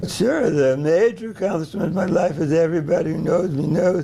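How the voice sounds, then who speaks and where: A man's fairly high-pitched voice with an American accent against noticeable background noise. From US Northeast. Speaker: animal genetics professor. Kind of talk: interview. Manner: halting.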